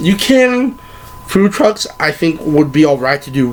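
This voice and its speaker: The man speaks at a fairly slow pace with a fairly high pitch and very wide pitch swings. Noticeable background noise runs underneath. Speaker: anime vlogger. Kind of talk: casual advice vlog.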